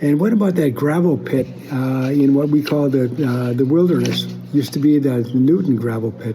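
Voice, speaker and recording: Amid noticeable background noise and audible room echo, a man with fairly high pitch and ordinary pitch variation talks at a moderate pace. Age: 70s. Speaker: family historian. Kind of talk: casual monologue. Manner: halting.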